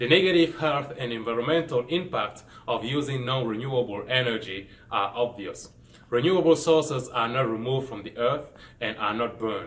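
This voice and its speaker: With a Cameroonian accent, a man talks at a medium pitch and a fairly quick pace. His pitch variation is ordinary. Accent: Cameroonian accent, non-native English. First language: French. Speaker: engineering student. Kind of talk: scripted presentation.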